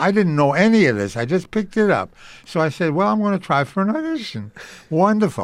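A man with a New York accent speaks at a fairly quick pace in a high voice, his pitch swinging very widely. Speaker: radio drama producer. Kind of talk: interview. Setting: museum event.

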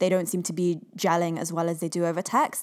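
With an unremarkable speaking voice, a woman talks at a fairly quick pace and medium pitch in a very clean recording with a silent background. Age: 30s. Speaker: podcast co-host. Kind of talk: casual chat.

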